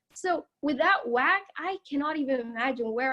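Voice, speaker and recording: A woman's high-pitched voice with a non-native accent, ordinary pitch variation and a moderate pace. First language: not English. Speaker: student tour guide. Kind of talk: campus tour presentation. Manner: casual, with fillers; gets louder when excited.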